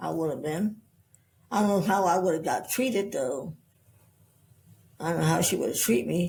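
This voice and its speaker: A woman's dark, mellow voice with vocal fry and very wide pitch swings. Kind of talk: interview. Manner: halting, repeats words.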